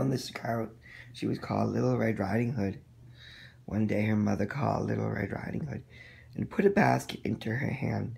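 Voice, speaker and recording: Using a raspy, put-on character voice, a man talks at a fairly quick pace broken by long, frequent pauses. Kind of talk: bedtime story. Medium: read story.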